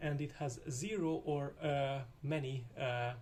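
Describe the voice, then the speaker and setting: A man speaks with a Hungarian accent at a fairly high pitch, with ordinary pitch variation. Noticeable background noise runs underneath. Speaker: programming tutor. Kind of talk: tutorial. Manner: hesitant, many filler uhs.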